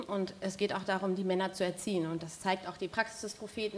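A woman talks at a very fast pace. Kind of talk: panel debate. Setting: stage with audience.

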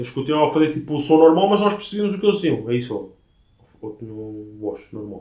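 A man's fairly high, dark, mellow voice at a very fast pace, with very wide pitch swings, big swings in loudness and audible room echo. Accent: European Portuguese. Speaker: podcast co-host. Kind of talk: casual chat.

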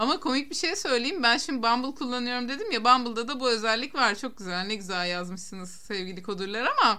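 At a fairly quick pace, a woman speaks in a bright, sharp tone with a high pitch and lively intonation. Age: 30s. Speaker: podcast co-host. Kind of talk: casual chat.

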